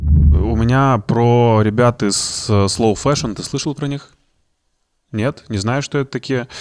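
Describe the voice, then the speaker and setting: With lively intonation, a man speaks at a very slow pace over a quiet background. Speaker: podcast host. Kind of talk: casual chat. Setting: studio. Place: studio. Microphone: studio mic.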